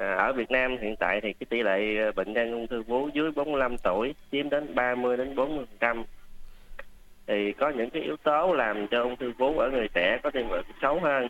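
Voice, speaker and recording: This man has a plain, everyday voice at a medium pitch with ordinary variation, speaking at a fairly slow pace. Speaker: doctor. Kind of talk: radio health advice interview. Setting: radio studio.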